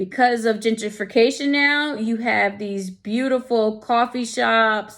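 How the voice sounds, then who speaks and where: A woman's normal speaking voice with an American accent, fairly high in pitch, at a fairly slow pace with fairly even intonation and hardly any pauses. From New York. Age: 40s. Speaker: student presenting a portfolio. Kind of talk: casual presentation walkthrough. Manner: conversational.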